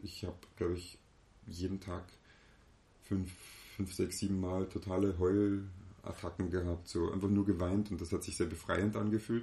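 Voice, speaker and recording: A man with a very deep, low voice speaks at a moderate pace in a flat monotone, his dark, mellow tone somewhat breathy and broken by long, frequent pauses. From Austria, moved from eastern Germany as a child. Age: 30s. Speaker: business consultant and seminar leader. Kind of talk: casual interview.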